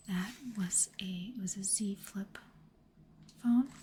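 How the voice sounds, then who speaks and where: A soft-spoken woman talks at a medium pitch with fairly even intonation. Noticeable background noise runs underneath. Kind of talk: ASMR unboxing talk.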